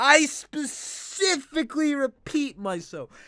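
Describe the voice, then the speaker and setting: A bright, sharp tone rings out from a man's raised, projected voice. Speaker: gaming YouTuber. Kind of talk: let's play commentary. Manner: giggly; rising question-like intonation.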